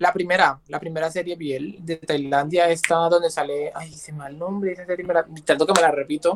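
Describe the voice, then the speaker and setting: The speaker talks at a fairly quick pace with hardly any pauses. Loudness swings widely from moment to moment. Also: man, high pitch for a man. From Colombia, San Andrés islands. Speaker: content creator. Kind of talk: casual chat. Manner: animated.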